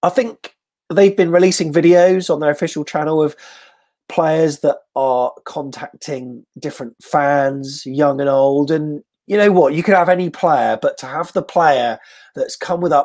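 The man speaks at a fairly slow pace with ordinary pitch variation. The background is quiet. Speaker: show host interviewer. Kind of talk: casual interview chat. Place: home room. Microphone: earbuds.

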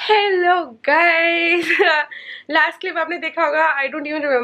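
A woman speaks very slowly in a raised, projected voice with a bright, sharp tone. Her pitch varies in an ordinary way. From India. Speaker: vlogger. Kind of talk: casual vlog talk to camera. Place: home room. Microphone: phone near.

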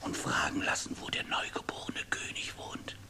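Someone does a raspy, put-on character voice at a moderate pace over light background noise. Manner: mocking, cheeky, whining.

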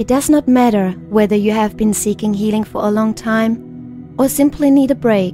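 A woman's voice with ordinary pitch variation, music in the background. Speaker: meditation guide. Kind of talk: guided meditation.

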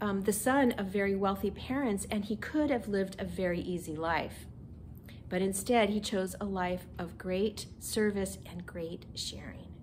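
Somewhat breathy, a woman speaks at a fairly slow pace with ordinary pitch variation and light background noise. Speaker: minister. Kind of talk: children's message. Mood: gentle and warm. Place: home room.

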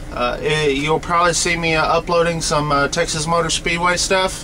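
Over light background noise, a man talks at a moderate pace in a high voice with fairly even intonation. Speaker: truck driver vlogger. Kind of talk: casual vlog chat. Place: car. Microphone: webcam.

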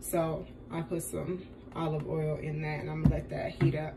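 Over noticeable background noise, a woman talks at a moderate pace with a fairly low pitch. Her tone is dark, mellow and somewhat breathy, and her intonation is monotone and flat. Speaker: home cook vlogger. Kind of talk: casual cooking tutorial chat. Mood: relaxed, joking. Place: kitchen. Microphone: phone near.

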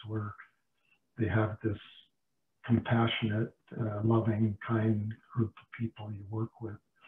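Delivery comes at a fairly slow pace in a monotone, flat intonation. Audible room echo surrounds it. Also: man. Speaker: dentist; panelist. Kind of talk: webinar discussion. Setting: video call. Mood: warm, appreciative. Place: kitchen. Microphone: video call.

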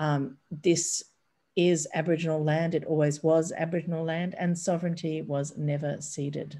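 A woman with an Australian accent talks at a moderate pace in a very deep, low voice, her tone dark and mellow and her intonation flat and monotone. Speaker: bookshop event host. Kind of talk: event introduction. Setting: video call. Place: home room. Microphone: webcam.

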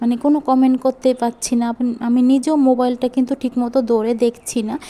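A woman speaks in a high, flat monotone. Noticeable background noise runs under her voice. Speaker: cooking vlogger. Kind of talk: vlog monologue. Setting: kitchen.

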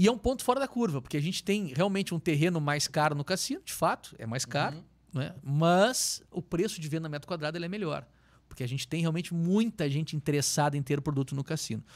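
In a quiet background, the speaker rattles along at a very fast pace with lively intonation. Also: man, fairly high pitch for a man, hardly any pauses. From southern Brazil, Pelotas (Rio Grande do Sul); Rio Grande do Sul, Brazil. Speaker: real estate developer, company founder; guest. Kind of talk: interview, life story. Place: studio. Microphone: studio mic.

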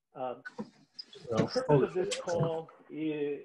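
A man talks with an American accent. Loud noise fills the background. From New York. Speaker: real estate investor hosting a live call. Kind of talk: webinar presentation. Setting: online video call. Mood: frank, storytelling. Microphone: video call.

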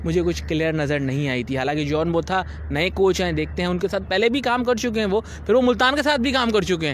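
Talking at a fast pace, a man uses a high pitch with ordinary pitch variation.

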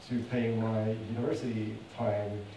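With audible room echo and noticeable background noise, a man speaks at a medium pitch in a monotone, flat intonation. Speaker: conference speaker. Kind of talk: conference presentation. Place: hall.

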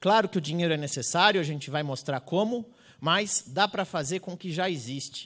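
Over a quiet background, a man talks at a fairly quick pace in a high voice. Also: ordinary pitch variation. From Brazil. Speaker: public security researcher; speaker. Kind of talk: conference talk. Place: hall. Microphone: handheld.

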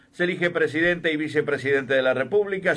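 With an unremarkable speaking voice, a man talks at a fairly quick pace with ordinary pitch variation. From Uruguay, Cerro Largo. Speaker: radio host. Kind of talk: live election radio broadcast.

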